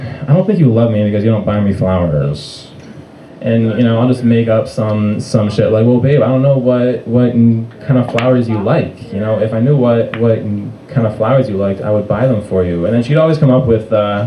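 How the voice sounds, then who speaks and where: Noticeable background noise sits behind a man speaking at a moderate pace, medium in pitch, with ordinary pitch variation. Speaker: stand-up comedian. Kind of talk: stand-up comedy set. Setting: live comedy club. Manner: stuttering.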